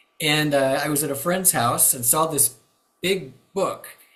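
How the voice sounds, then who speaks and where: Audible room echo colors speech delivered at a moderate pace, its pitch varying in an ordinary way. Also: man. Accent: US Midwestern. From Kansas, US Midwest. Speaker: retired pastor and enneagram teacher. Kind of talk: interview. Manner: halting, many fillers.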